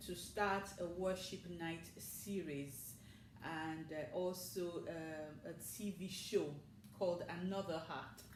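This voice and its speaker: With audible room echo and noticeable background noise, a woman speaks very slowly in a fairly low pitch, varying it in an ordinary way. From Nigeria. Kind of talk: interview. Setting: studio.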